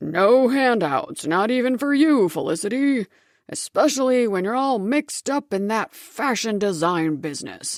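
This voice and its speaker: Putting on a character voice, a woman booms in a stern tone at a fairly high pitch, with very wide pitch swings at a moderate pace and a dry, close sound with no echo. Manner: stern, disapproving.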